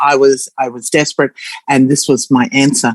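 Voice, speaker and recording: An Australian accent at a fairly quick pace. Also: woman. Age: 60s. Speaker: former nurse sharing testimonial. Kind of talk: testimony. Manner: halting.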